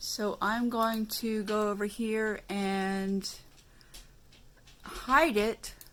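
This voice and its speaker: A woman speaks at a very slow pace. Her speech has long, frequent pauses. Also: fairly high pitch for a woman, fairly even intonation. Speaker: craft tutorial youtuber. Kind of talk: tutorial. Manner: halting, filler-heavy; mumbling. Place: home room. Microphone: phone near.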